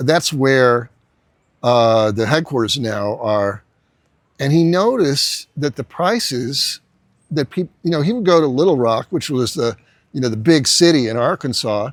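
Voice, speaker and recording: With an American accent, a man speaks in an ordinary speaking voice at a medium pitch and a fairly slow pace, his intonation lively and the sound dry and close with no echo. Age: 60s. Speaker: entrepreneur and business coach. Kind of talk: casual talk-to-camera lecture. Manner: conversational with many fillers and restarts.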